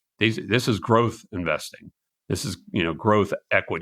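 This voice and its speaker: On a very clean recording with a silent background, a man with a bright, sharp tone talks at a moderate pace and fairly low pitch with ordinary pitch variation. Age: 60s. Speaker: venture capital managing partner. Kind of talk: podcast interview. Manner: repetitive false starts.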